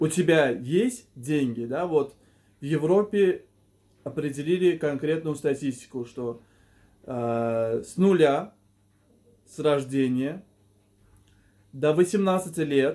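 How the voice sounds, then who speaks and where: A man's dark, mellow tone at a fairly high pitch, very slow with long, frequent pauses, ordinary pitch variation and big swings in loudness. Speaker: video blogger / life coach. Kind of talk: monologue to camera. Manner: stuttering, halting.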